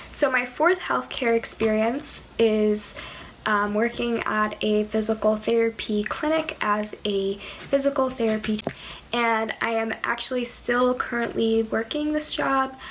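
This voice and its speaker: A soft-spoken woman talks in a calm tone at a fairly high pitch with ordinary pitch variation. Background noise is noticeable. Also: fairly slow pace. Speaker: pre-med student and physical therapy technician. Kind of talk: casual vlog talk to camera. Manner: calm, hesitant with many ums.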